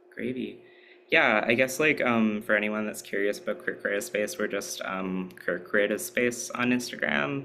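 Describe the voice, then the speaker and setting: A man at a moderate pace and medium pitch, with ordinary pitch variation and noticeable background noise. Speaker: workshop presenter. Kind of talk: workshop talk. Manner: casual, many filler words.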